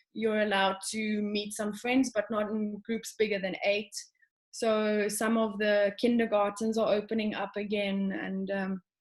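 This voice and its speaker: A woman's medium-pitched voice with a South African accent, at a fairly slow pace and in a monotone, flat intonation. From South Africa, Johannesburg. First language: Afrikaans. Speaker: show jumping rider. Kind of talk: casual interview.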